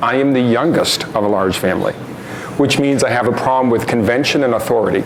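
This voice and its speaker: A medium-pitched man with an American accent talks at a very fast pace with very even loudness, amid audible room echo and noticeable background noise. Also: ordinary pitch variation. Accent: Boston accent, comes out at times. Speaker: nonprofit founder and speaker. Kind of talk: public talk. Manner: hesitant with fillers.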